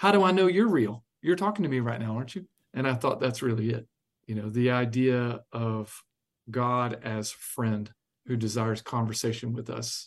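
A man with an unremarkable speaking voice talks at a moderate pace and medium pitch with lively intonation, over a quiet background. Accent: American. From US South, South Carolina. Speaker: pastor. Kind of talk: interview.

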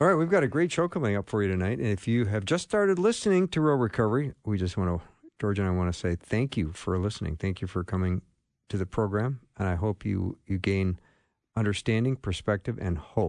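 A man with a normal speaking voice, pitched fairly low, talks at a fairly quick pace with lively intonation. The sound is dry and close with no echo, over a quiet background. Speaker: radio host. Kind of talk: casual chat. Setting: studio.

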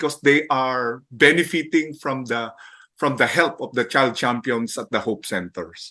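Against a quiet background, a man speaks with a bright, sharp tone at a fairly slow pace. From Philippines, Manila. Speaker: charity director. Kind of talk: interview testimony.

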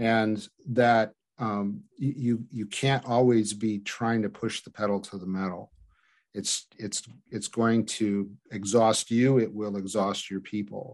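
With a plain, everyday voice, a man speaks at a fairly slow pace and a fairly low pitch, his intonation fairly even but his loudness swinging widely against a quiet background. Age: 60s. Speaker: former pastor, ministry director. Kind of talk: interview conversation.

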